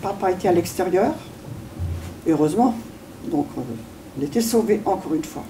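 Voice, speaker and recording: Over noticeable background noise, a woman with a medium-pitched voice and lively intonation speaks at a moderate pace, leaving long, frequent pauses. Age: 80s+. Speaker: war witness. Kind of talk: testimony.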